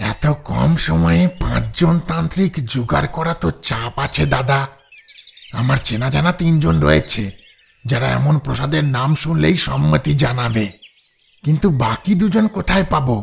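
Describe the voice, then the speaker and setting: A man speaks in a put-on character voice at a fairly slow pace, his pitch swinging very widely while his loudness stays very even. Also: medium pitch for a man. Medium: audio drama. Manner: eager, deferential.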